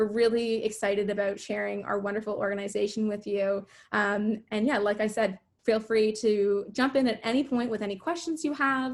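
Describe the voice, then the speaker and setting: An ordinary speaking voice, moderately paced, its pitch varying in an ordinary way. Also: woman, fairly high pitch for a woman. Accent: Canadian. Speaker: youth organization volunteer. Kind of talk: online info session presentation.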